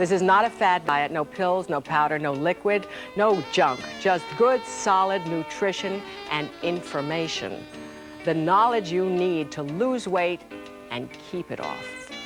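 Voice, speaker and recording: With music in the background, a woman with a fairly low voice sounds upbeat and enthusiastic, her intonation lively. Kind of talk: TV infomercial host. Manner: upbeat, enthusiastic.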